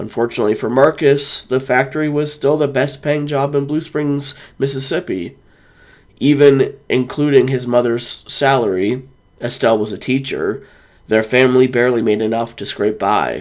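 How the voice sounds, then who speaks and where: Putting on a raspy character voice, a man speaks at a moderate pace with medium pitch and fairly even intonation. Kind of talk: literary audiobook narration. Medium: read story. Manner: calm, measured.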